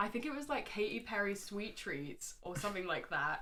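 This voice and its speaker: Audible room echo surrounds a woman's voice, medium in pitch with a bright, sharp tone. She talks at a moderate pace. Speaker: Sims content creator. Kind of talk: casual chat.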